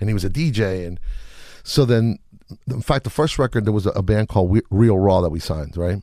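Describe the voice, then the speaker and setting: On a very clean recording with a silent background, a man with a dark, mellow tone and fairly low pitch talks at a very fast pace with lively intonation. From Chile. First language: Spanish. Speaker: music producer. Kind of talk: casual interview chat. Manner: relaxed, laid-back slang.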